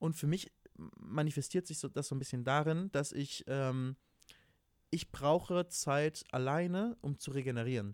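A man with an ordinary speaking voice, fairly high pitch, ordinary pitch variation and a fairly slow pace, in a dry, close sound with no echo. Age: 20s. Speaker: podcast co-host. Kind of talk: casual chat.

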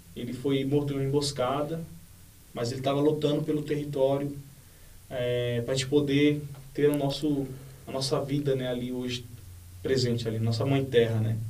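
A man with a dark, mellow tone speaks at a fairly high pitch and a moderate pace, his intonation monotone and flat. Long, frequent pauses break up his speech, and audible room echo surrounds it. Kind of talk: interview.

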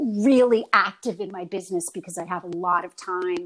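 This woman has an ordinary speaking voice, medium in pitch with ordinary variation and an American accent. She keeps a moderate pace on a very clean recording with a silent background. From New York. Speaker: actress and acting teacher. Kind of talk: casual interview chat.

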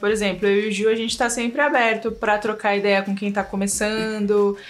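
An ordinary speaking voice from a woman, fairly high in pitch, at a moderate pace. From São Paulo east zone, Brazil. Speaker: video editor. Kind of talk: casual chat. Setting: video call.

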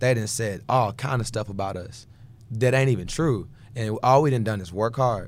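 A man with an American accent speaks at a moderate pace, medium in pitch with ordinary pitch variation. It is a plain, everyday voice. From Houston, Texas. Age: 20s. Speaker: gospel singer and producer. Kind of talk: casual interview chat.

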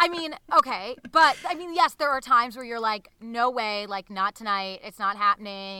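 A woman with an American accent, fairly high in pitch and bright and sharp in tone, at a moderate pace, in dry, close sound with no echo and a very clean recording with a silent background. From Newton, Massachusetts. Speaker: podcast co-host. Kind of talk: casual chat.

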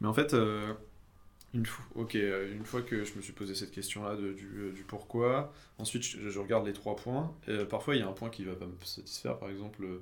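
Audible room echo surrounds a man speaking at a fairly quick pace, his fairly low pitch showing ordinary pitch variation. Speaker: engineering student. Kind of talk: casual chat.

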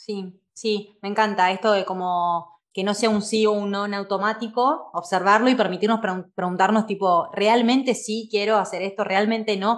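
This woman has an unremarkable speaking voice at a medium pitch. She keeps a moderate pace with fairly even intonation and hardly any pauses. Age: 30s. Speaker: podcast host and life coach. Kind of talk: conversational interview.

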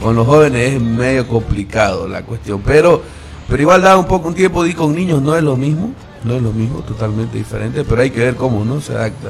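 Against music in the background, a man speaks fairly quickly in a medium pitch with lively intonation. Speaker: radio host. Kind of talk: morning radio show. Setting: radio studio.

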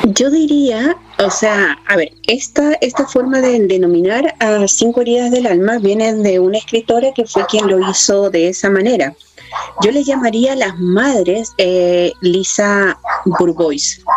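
Through noticeable background noise, a woman with a fairly high pitch speaks fairly slowly, her intonation lively and her loudness very even. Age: 40s. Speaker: spiritual teacher. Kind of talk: spiritual talk.

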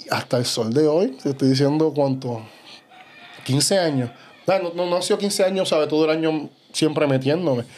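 The speaker keeps a moderate pace with ordinary pitch variation. Long, frequent pauses break up the speech. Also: man, fairly high pitch for a man. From Puerto Rico. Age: 30s. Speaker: bodybuilder. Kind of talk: casual chat.

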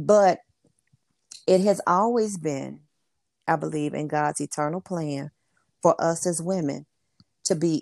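Over a silent background in a very clean recording, a woman speaks fairly slowly in a fairly low voice, pausing long and often, the sound dry and close with no echo. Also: ordinary pitch variation. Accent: Southern US. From US South, Memphis, Tennessee. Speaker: work-from-home business coach and author. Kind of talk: interview.

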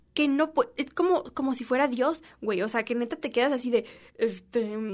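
A woman speaks with lively intonation at a moderate pace. Her pitch is high. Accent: Mexican. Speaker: podcast host. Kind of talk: casual monologue. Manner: animated.

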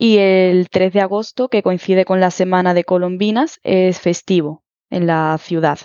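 In an unremarkable speaking voice, a woman talks at a fairly slow pace with a medium pitch, very even loudness and fairly even intonation. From Huelva, Andalusia, Spain. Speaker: Spanish teacher. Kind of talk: interview.

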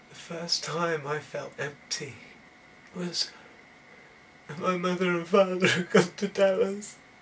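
A man with a high pitch speaks at a very slow pace, leaving long, frequent pauses. His intonation is fairly even while his loudness swings widely, over noticeable background noise. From southern England, Banbury area (Oxfordshire). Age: 30s. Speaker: spiritual video maker. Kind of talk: spiritual monologue.

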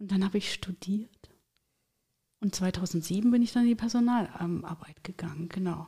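A woman with a medium-pitched, dark and mellow voice, somewhat breathy, talks at a moderate pace with long, frequent pauses and ordinary pitch variation. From Thuringia, eastern Germany. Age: 40s. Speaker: career coach and HR consultant. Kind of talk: casual interview.

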